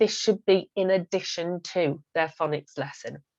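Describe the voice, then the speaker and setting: Against a quiet background, a woman speaks at a moderate pace. The sound is dry and close, with no echo. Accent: English. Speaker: phonics teacher giving training. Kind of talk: presentation talk over slides. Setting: screen-share recording.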